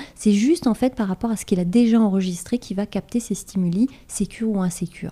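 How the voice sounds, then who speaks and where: Speaking at a fairly quick pace with hardly any pauses, a woman uses a medium pitch with ordinary pitch variation and a dark, mellow, somewhat breathy tone. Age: 40s. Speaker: life coach. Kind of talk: interview.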